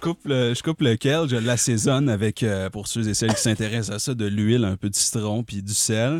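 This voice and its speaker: Hardly pausing, a man speaks at a fairly quick pace with a medium pitch and ordinary pitch variation. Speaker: comedy podcast host. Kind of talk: casual chat. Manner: animated.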